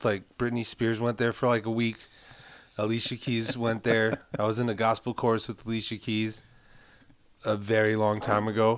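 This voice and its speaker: Monotone, flat intonation from a man at a moderate pace. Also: medium pitch for a man. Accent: New York. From Brooklyn, New York (Carroll Gardens). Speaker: film composer. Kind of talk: casual chat.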